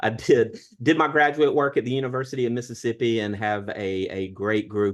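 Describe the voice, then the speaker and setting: Someone with a Southern US accent speaks at a moderate pace against a quiet background. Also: man. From US South, southern Alabama. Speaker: history professor. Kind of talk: online panel discussion.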